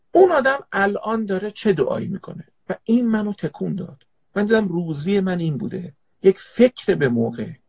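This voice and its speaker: Speaking at a moderate pace with lively intonation, a man with a high voice is heard in a dry, close sound with no echo. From Tehran, Iran. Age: 40s. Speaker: organizational psychoanalyst. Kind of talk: casual live chat.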